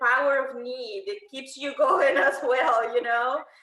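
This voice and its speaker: With a Spanish accent, a woman uses a raised, projected voice at a high pitch and a fairly slow pace. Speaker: panelist. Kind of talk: panel discussion.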